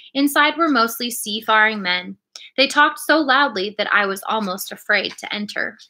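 Behind the voice, the background is quiet. The reading is done aloud in a natural voice.

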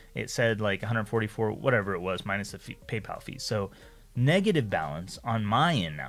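Faint music plays behind a man with an American accent. His fairly low voice has lively intonation. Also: moderate pace. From United States. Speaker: YouTuber, freelancing coach. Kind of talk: casual rant to camera. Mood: frustrated, recounting a grievance. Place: home room. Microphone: studio mic.

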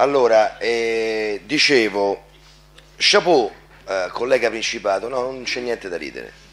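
A man's fairly slow speech with ordinary pitch variation and long, frequent pauses. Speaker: local councillor. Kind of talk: council debate. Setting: council chamber. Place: hall. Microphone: podium.

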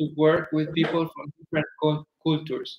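A man speaks with audible room echo. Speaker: panel moderator. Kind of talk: online panel discussion. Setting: video call. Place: home room. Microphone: video call.

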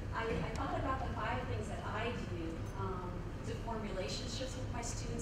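A woman talks at a moderate pace over loud background noise, with audible echo in the room. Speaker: professor. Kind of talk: lecture. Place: hall.

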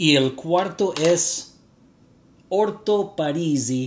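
A man with an English accent talks at a very slow pace, his pitch swinging very widely. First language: English (speaking Spanish). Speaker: fragrance reviewer YouTuber. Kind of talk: vlog to camera. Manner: halting, with fillers.

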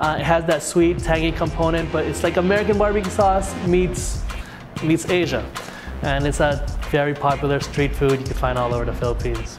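A man at a fairly quick pace over clear music in the background. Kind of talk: interview answer. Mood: relaxed, friendly. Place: cafe.

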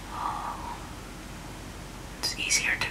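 Noticeable background noise sits under the voice. The words come very slowly. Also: woman. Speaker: ASMR creator. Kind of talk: ASMR unboxing. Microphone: studio mic.

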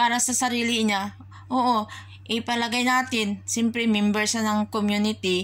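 Her pitch medium, a woman talks at a moderate pace. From Philippines. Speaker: overseas worker vlogger. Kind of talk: opinion vlog monologue. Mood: somber, sad reflection. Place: home room. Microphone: phone near.

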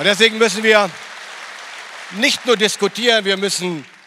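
Over a quiet background, a man talks at a very fast pace in a bright, sharp tone. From northern Germany. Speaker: politician. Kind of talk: political speech. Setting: stage with audience. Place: hall. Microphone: handheld.

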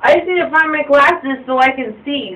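A woman's raised, projected voice at a fairly slow pace. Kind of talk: slurred casual talk. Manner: drunk, slurred and searching. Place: bathroom. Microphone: phone near.

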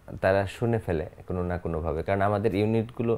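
A man's fairly low-pitched voice, dark and mellow in tone, with ordinary pitch variation. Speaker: film actor guest. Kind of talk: interview answer. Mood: relaxed, smiling. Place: studio. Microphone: lapel.

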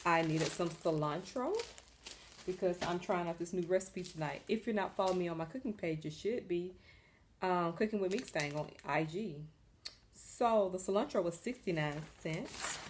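The speech moves at a moderate pace with ordinary pitch variation. Long, frequent pauses break it up over noticeable background noise. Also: woman, fairly low pitch for a woman. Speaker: home vlogger. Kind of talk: casual haul vlog chat. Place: home room. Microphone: phone near.

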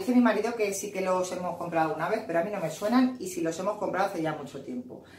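Over light background noise and with audible room echo, a woman talks at a very fast pace. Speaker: home vlogger. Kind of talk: casual vlog chat. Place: kitchen.

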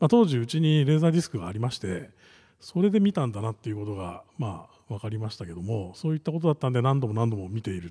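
Against a quiet background, a man races along very fast in a dark, mellow, somewhat breathy voice, his pitch swinging very widely and his loudness shifting in big swings. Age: 40s. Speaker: venture capitalist; conference keynote speaker. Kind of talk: panel presentation. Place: hall. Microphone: podium.

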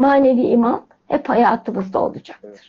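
Her voice is high-pitched, with a dark, mellow tone. The woman speaks fairly slowly over a quiet background. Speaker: religious commentator explaining hymn lyrics; program host or guest. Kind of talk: spiritual talk. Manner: animated. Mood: warm, reverent. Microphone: video call.

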